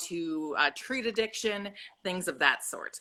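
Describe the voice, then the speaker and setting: Here a woman with a Minnesotan accent and a bright, sharp tone talks at a moderate pace with ordinary pitch variation. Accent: Minnesota. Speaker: psychology professor. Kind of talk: casual chat. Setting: video call.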